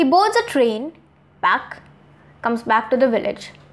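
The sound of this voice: Speaking at a fairly slow pace, a woman has a fairly high pitch.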